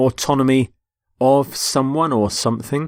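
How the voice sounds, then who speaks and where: Recorded very cleanly with a silent background and a dry, close sound with no echo, a man with a British accent speaks at medium pitch and a moderate pace. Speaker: English teacher. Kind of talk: educational vocabulary lecture. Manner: clear, measured.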